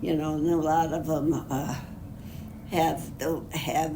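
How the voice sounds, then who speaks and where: Against noticeable background noise, a woman speaks fairly slowly with a very deep, low pitch. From Upper Peninsula of Michigan. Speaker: retired executive secretary. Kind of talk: interview answer. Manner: conversational, hesitant.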